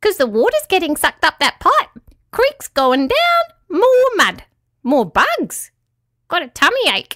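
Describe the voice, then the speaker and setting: This put-on character voice is squeaky and extremely high in pitch, swinging very widely while moving at a fairly slow pace. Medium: read story. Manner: terse, matter-of-fact, happy.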